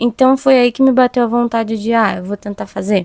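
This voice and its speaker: A woman speaks at a fairly quick pace with a fairly high pitch and ordinary pitch variation. The sound is dry and close, with no echo. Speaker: podcast host, cook. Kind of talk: personal reflection monologue. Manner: fast-talking.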